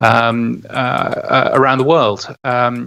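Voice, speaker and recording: A man speaks at a medium pitch with vocal fry and a monotone, flat intonation. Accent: British. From England. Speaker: podcast newsletter editor, radio veteran. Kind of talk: podcast interview.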